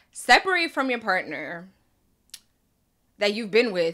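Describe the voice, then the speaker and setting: A woman is talking. She has a bright, sharp tone. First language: Spanish. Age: 20s. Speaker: podcast host. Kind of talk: casual commentary monologue. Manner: casual, conversational.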